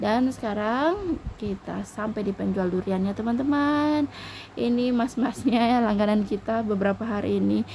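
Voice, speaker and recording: Somewhat breathy and dark, mellow in tone, a woman speaks at a moderate pace in a fairly high pitch with ordinary pitch variation. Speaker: housewife vlogger. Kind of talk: casual vlog narration. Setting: traditional market, outdoors.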